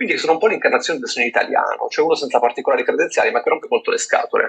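A man at a very fast pace. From Italy, Turin. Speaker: podcast co-host. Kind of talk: casual chat.

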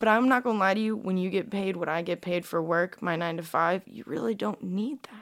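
A woman with an unremarkable speaking voice, medium in pitch with ordinary pitch variation, fairly quick with hardly any pauses and big swings in loudness. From Russia, raised in US since early childhood. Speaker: social media model and influencer. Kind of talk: casual interview chat.

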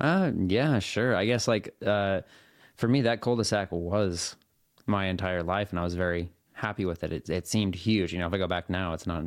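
In a very clean recording with a silent background, a man with a West Coast US accent speaks fairly quickly in a very deep, low pitch with ordinary pitch variation. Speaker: professional triathlete and video creator. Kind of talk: casual interview chat.

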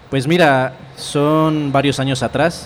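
A man's voice over noticeable background noise. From Colombia, Cauca (Puracé). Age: 20s. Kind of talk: interview.

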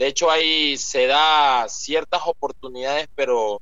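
A man talks very slowly in a fairly high pitch. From Ecuador, Esmeraldas province. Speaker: poet and author. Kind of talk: interview. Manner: halting.

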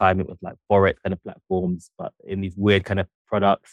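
A man speaks with a London accent at a fairly quick pace. His pitch is fairly low. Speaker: journalist and author. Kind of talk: interview.

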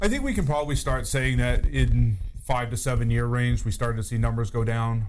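Audible echo and noticeable background noise come through as a man speaks. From New Hampshire. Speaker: fire chief. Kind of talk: casual chat.

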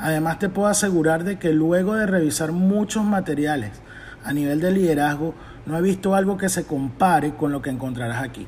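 An unremarkable speaking voice from a man, fairly high in pitch, with ordinary pitch variation and a fairly quick pace. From Venezuela. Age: 40s. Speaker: leadership coach and podcaster. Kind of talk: scripted motivational monologue.

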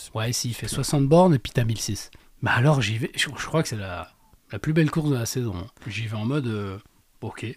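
On a very clean recording against a silent background, a man of medium pitch speaks at a moderate pace, somewhat breathy and with lively intonation, leaving long, frequent pauses. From Lorraine, France. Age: 30s. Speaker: amateur trail runner, estate agent. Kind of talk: casual interview. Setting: studio.

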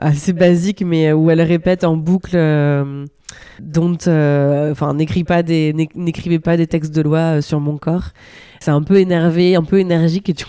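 A woman speaks at a fairly slow pace in a fairly low pitch, her dark, mellow tone paired with monotone, flat intonation. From France, rural Normandy. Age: young. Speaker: comedian. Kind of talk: casual interview. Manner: halting, with many repetitions.

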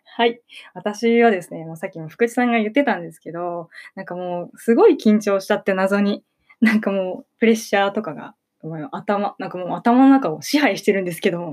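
A woman's medium-pitched voice at a fairly quick pace, with big swings in loudness, ordinary pitch variation and music in the background. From Ibaraki, Japan. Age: young (19). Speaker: theater actor. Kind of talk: casual radio chat.

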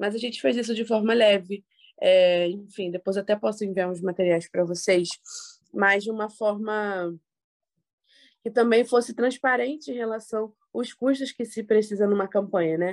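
A woman speaks in a normal speaking voice at a medium pitch. Her pace is moderate and her pitch variation ordinary. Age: 20s. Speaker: political communications professional. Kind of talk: podcast interview.

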